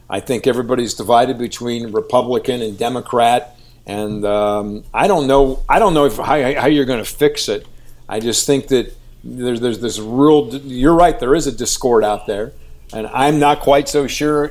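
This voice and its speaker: On a very clean recording with a silent background, a man with a Midwestern American accent speaks at a moderate pace and medium pitch with ordinary pitch variation. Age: 60s. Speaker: TV news anchor and reporter. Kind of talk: interview.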